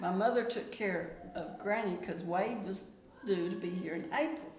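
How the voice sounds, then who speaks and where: A woman with a Texan accent speaks with lively intonation against audible room echo and noticeable background noise. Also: medium pitch for a woman, moderate pace. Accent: Texan Southern US. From west Texas. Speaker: interviewed senior citizen. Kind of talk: casual interview chat. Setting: care facility.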